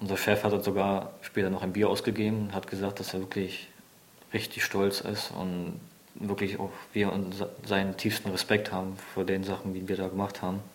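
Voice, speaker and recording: Here a man speaks at a fairly low pitch. His intonation is monotone and flat. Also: moderate pace. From Germany, near Berlin. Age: 20s. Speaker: soldier, reconnaissance scout. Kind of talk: testimony.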